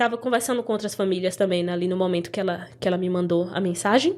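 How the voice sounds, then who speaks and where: A woman speaks with a Brazilian accent. Her tone is animated. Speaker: former au pair. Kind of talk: casual chat.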